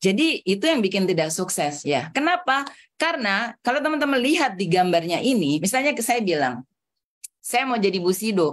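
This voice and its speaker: Her pitch swings very widely at a moderate pace. The woman is heard against a quiet background. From Jakarta and Bandung, Javanese family from Solo. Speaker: trainer, hypnotherapy and network marketing coach. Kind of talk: online training session. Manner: animated.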